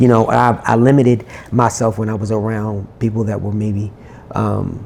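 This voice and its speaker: The speaker is soft-spoken. Noticeable background noise can be heard. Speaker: singer-songwriter. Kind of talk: interview conversation.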